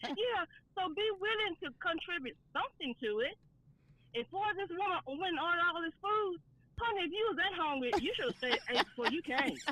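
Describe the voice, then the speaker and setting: A woman's raised, projected voice at an extremely high pitch, fairly quick, with very wide pitch swings, dry and close with no echo, over noticeable background noise. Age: 60s. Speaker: caller. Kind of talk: call-in opinion on radio.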